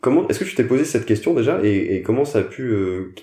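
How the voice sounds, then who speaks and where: Very fast speech in a dark, mellow, somewhat breathy tone with ordinary pitch variation. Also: man. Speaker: podcast host. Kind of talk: interview question.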